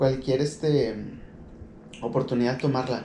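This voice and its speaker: A man with a Mexican accent speaks at a moderate pace and medium pitch in a dark, mellow tone, with audible room echo. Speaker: podcast host. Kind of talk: casual monologue. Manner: halting, many fillers.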